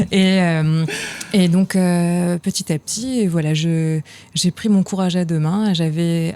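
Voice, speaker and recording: Noticeable background noise beneath a woman's fairly low-pitched voice. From France (provinces). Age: young. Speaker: actress, singer and film director. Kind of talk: interview. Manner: hesitant, many fillers.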